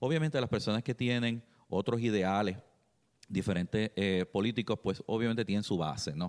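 A man with a fairly low pitch, in a dry, close sound with no echo and a very clean recording over a silent background. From Puerto Rico, Trujillo Alto. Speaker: political party community liaison. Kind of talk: radio interview. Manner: halting.

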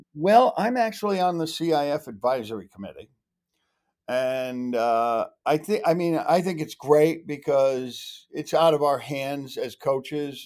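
With an American accent, a man speaks at a very slow pace using lively intonation. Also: very clean recording, silent background. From New England (Connecticut/Massachusetts). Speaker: high school lacrosse coach. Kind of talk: casual interview.

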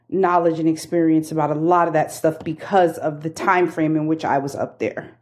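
A woman speaks with a New York accent. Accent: New York area. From New York, Bronx. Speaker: yarn business owner. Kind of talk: casual chat.

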